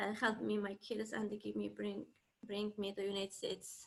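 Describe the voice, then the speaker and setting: A woman with a non-native accent speaks at a fairly slow pace in a medium pitch. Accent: non-native, limited English. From East Turkestan (Xinjiang), China. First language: Uyghur. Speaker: camp survivor. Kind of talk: testimony. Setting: video call. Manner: halting.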